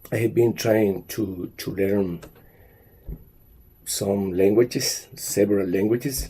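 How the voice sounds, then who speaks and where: A man speaks at a very slow pace with a fairly low pitch and ordinary pitch variation. His tone is dark and mellow, and somewhat breathy. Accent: Spanish. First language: Spanish. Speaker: language teacher. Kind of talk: monologue talk. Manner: halting, many fillers.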